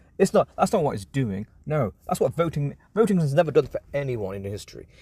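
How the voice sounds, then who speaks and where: A somewhat breathy man at a fairly quick pace, in a dry, close sound with no echo. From England. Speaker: political commentator. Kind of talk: casual commentary. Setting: in a car park. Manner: halting.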